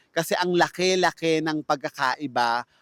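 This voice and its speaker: An unremarkable speaking voice from a man, fairly high in pitch and fairly slow, with a dry, close sound with no echo on a very clean recording over a silent background. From Philippines. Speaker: vlogger, fast food worker. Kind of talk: vlog monologue. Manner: polite.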